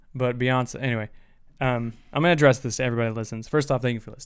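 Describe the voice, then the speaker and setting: A Midwestern American accent with fairly even intonation at a very fast pace. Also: man. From US Midwest. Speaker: podcast co-host. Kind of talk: casual chat. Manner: mumbling. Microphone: far from the mic when guests are on.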